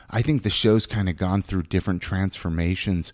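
A man with an American accent talks in a fairly low pitch, his tone dark and mellow, on a very clean recording with a silent background. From Southern California, Ventura. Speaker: podcast co-host. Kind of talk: casual interview chat.

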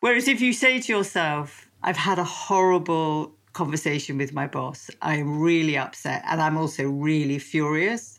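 Someone with a British accent speaks at a fairly slow pace with lively intonation. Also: woman. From England. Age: 60s. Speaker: psychotherapist. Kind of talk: interview. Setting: remote call.

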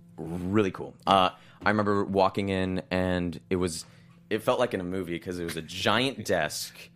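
A man with an American accent speaks in a very deep, low pitch. His pace is moderate and his intonation fairly even. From Los Angeles. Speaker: actor on a soap opera. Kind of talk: casual interview.

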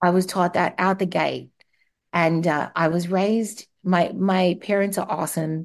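Woman with an Australian accent, fairly low in pitch, monotone and flat, at a fairly slow pace with very even loudness and a quiet background. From Australia (Darwin). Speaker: marketing executive and transplant survivor. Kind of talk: interview testimony. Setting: remote call.

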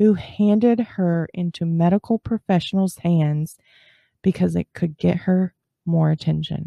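A normal speaking voice moves at a fairly slow pace with ordinary pitch variation. The sound is dry and close with no echo, over a quiet background. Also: woman. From Texas. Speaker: true crime podcast host. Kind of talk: scripted narration.

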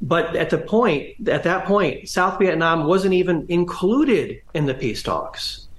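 In a room with audible echo, a man with a US Midwestern accent speaks at a fairly slow pace. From Northwest Ohio, US Midwest. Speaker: history professor and author. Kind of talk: interview. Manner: halting, many fillers and restarts.

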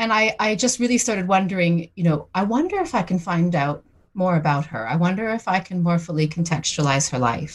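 A woman's fairly low, somewhat breathy voice at a fairly quick pace, with lively intonation. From Newfoundland, Canada. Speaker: historian. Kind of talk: interview. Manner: hesitant with repetitions.

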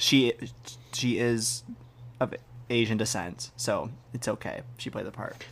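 A man talks at a medium pitch and a fairly slow pace, leaving long, frequent pauses. He sounds somewhat breathy, and his intonation is fairly even. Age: 20s. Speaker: guest co-host, theater performer. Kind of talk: casual chat.

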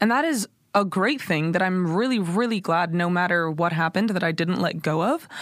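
A woman speaks at a fairly quick pace with very even loudness. Her pitch is fairly low, with ordinary pitch variation. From Los Angeles, California. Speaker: pop singer. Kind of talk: interview.

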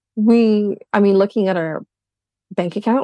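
In a plain, everyday voice, a woman speaks at a moderate pace with ordinary pitch variation, the sound dry and close with no echo. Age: 30s. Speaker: podcast guest discussing couple's finances. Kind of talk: casual interview conversation.

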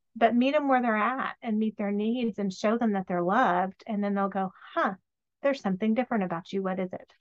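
A woman talks at a fairly quick pace with a fairly high pitch. Her pitch varies an ordinary amount, and the sound is dry and close with no echo. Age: 40s. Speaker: novelist. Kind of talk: casual chat. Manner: animated.

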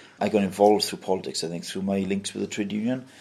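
Speaking with a South Wales accent, a man keeps his intonation monotone and flat. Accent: South Wales valleys. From Wales, Mountain Ash (South Wales valleys). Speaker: council leader, politician. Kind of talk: interview.

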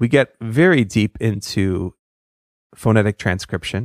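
A man talks in a relaxed tone with ordinary pitch variation. The recording is very clean with a silent background, and the sound is dry and close with no echo. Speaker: podcast host, speech pathologist. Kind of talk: interview conversation. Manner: introverted, relaxed.

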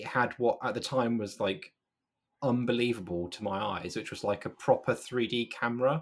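With a British accent, a man speaks at a medium pitch and fairly quick pace in a very clean recording with a silent background. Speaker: video game editor. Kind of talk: casual chat.

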